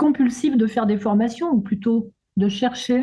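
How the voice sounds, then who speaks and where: This woman's voice has a dark, mellow tone. Her pitch is fairly high and varies in an ordinary way. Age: 70s. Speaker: retired sophrologist and therapist. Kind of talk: testimonial interview. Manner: halting.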